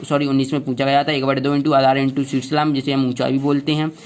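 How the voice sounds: Fast-paced and medium in pitch, a man speaks with little pitch movement.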